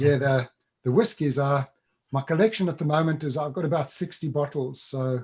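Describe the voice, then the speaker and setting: A man speaks at a moderate pace with an American accent. His voice is fairly high in pitch, somewhat breathy, with ordinary pitch variation. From South Africa. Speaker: workshop leader. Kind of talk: casual chat.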